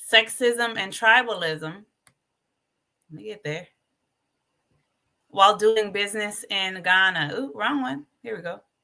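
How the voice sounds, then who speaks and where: A woman's medium-pitched voice, bright and sharp in tone, at a fairly slow pace with long, frequent pauses, big swings in loudness and ordinary pitch variation. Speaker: livestream host. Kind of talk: livestream talk. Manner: animated; loud when passionate.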